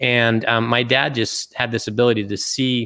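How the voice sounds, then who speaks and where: Over a very clean recording with a silent background, a man talks in a normal speaking voice at medium pitch with fairly even intonation. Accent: American. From US, Utah. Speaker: retired business executive and investor. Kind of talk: interview.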